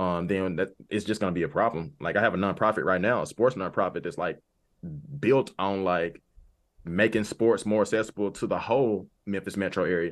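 In a quiet background, a normal speaking voice moves at a fairly quick pace with ordinary pitch variation. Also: man, fairly low pitch for a man. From US South, Arkansas. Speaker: nonprofit director. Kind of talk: casual chat.

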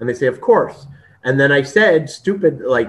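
With a Canadian accent and lively intonation, a man uses an ordinary speaking voice at a fairly high pitch. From Canada. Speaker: video interviewer and content creator. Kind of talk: casual interview conversation.

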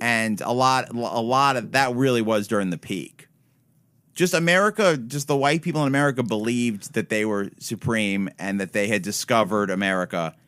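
A plain, everyday voice from a man, with lively intonation at a moderate pace, on a very clean recording with a silent background. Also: medium pitch for a man. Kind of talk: casual chat.

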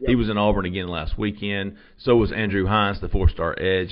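This man has an unremarkable speaking voice. His pitch sits fairly low. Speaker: recruiting editor and show host. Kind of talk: casual sports talk show chat. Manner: casual, upbeat, chatty.

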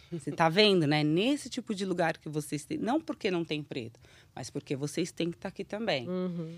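Woman with a fairly low pitch and an ordinary speaking voice, on a very clean recording with a silent background. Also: lively intonation, fairly quick pace. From Brazil. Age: 30s. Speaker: children's YouTube creator. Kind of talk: casual interview chat.

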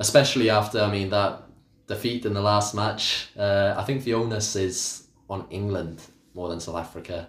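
A man with a Welsh accent speaks at a moderate pace in a fairly low, somewhat breathy voice with fairly even intonation, and audible room echo surrounds him. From Wales. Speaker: cricket pundit. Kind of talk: casual chat.

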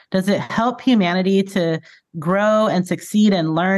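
Against a quiet background, a woman with an American accent uses a normal speaking voice at medium pitch, moderate pace and ordinary pitch variation. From California, Bakersfield. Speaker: former youth minister and church executive. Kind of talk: casual interview.

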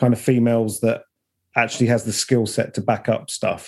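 A dark, mellow tone at a fairly quick pace, in a very clean recording with a silent background. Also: man. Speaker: video producer. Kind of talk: casual chat.

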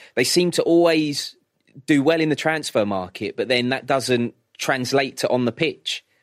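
An unremarkable speaking voice at a moderate pace, with ordinary pitch variation and a dry, close sound with no echo, comes through on a very clean recording over a silent background. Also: man, fairly high pitch for a man. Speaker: radio sports presenter. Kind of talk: casual chat.

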